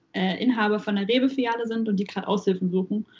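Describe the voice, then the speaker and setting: Her voice has a somewhat breathy quality. This woman talks at a medium pitch. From Saxony-Anhalt, Germany. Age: 20s. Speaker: university student and supermarket worker. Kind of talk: casual chat. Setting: video call.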